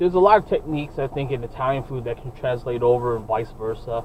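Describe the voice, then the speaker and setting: A man's very fast American-accented speech with hardly any pauses, over noticeable background noise. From New York City, Brooklyn. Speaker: podcast co-host. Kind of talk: casual chat. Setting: in a car.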